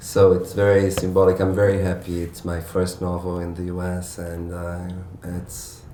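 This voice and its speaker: Through audible room echo, a man with a very deep, low pitch speaks at a moderate pace in a flat monotone. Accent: Portuguese. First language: Portuguese. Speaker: novelist. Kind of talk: author Q&A at bookstore event. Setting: bookstore event with audience. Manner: halting, many fillers and restarts.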